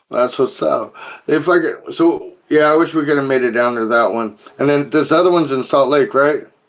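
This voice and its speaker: A man mumbling at a moderate pace, fairly high in pitch, with ordinary pitch variation. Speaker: podcast host. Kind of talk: casual chat.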